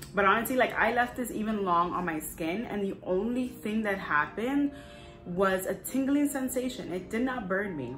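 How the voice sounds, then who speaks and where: Over background music and audible room echo, a woman with a fairly high voice speaks in an animated tone with lively intonation. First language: not English. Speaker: lifestyle vlogger. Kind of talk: product review. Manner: fast.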